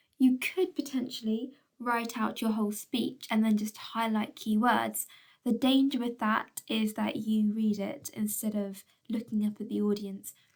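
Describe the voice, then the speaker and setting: A somewhat breathy woman at a fairly slow pace, her intonation fairly even. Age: adult, well past school age. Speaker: schoolteacher. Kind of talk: recorded video lesson. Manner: frequent fillers.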